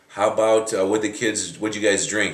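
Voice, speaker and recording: Noticeable background noise fills the clip. A man talks at a fairly quick pace. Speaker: fitness and fat loss coach interviewing his grandmother. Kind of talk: interview questions to a relative.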